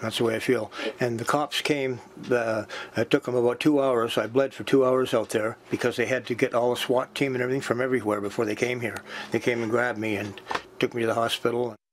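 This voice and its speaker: Over noticeable background noise, a man with a medium pitch talks at a fairly quick pace in a flat, monotone way. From New Brunswick, Canada. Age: 60s. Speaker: home invasion victim. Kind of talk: interview. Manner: halting.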